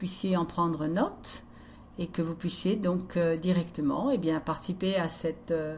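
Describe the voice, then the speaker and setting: This woman's voice is somewhat breathy and fairly low in pitch, moving at a fairly slow pace. Audible room echo surrounds it. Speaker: speaker presenting her own conference talk. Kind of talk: presentation to camera, translated conference talk. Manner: hesitant, many fillers.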